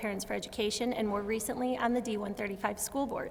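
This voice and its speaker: Against noticeable background noise, a woman with an American accent speaks at a fairly high pitch using fairly even intonation. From US Midwest, Chicago suburbs. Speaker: school board candidate. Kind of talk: candidate forum speech.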